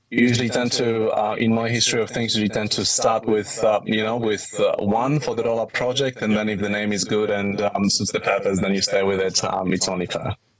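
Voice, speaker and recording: This man speaks at medium pitch with a strong Polish accent. His pace is fairly quick and his intonation flat and monotone. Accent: thick Polish. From Poland. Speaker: IT business owner. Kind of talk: podcast interview. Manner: hesitant, many fillers.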